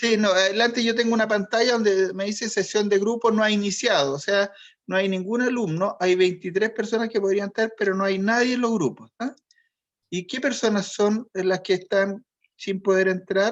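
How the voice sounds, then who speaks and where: A man speaks at a moderate pace in a high voice, his intonation fairly even against a quiet background. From Chile. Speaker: college teacher. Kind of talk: online class, roll call.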